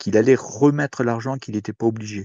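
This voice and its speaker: This man talks at a moderate pace, keeping a medium pitch and fairly even intonation. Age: 60s. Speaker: participant in online citizen forum. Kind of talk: open discussion contribution. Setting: Discord voice call. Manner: hesitant, many fillers and repetitions.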